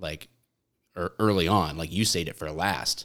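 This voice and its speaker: A man with a Michigan accent speaks at a very deep, low pitch on a very clean recording with a silent background. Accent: Michigan, general American. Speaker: former police officer, content creator. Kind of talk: casual chat. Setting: studio. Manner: joking, animated.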